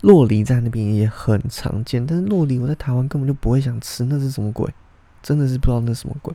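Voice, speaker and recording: Speaking very fast, a man at medium pitch has a dark, mellow tone and ordinary pitch variation. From Taiwan. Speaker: podcast host. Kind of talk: casual monologue.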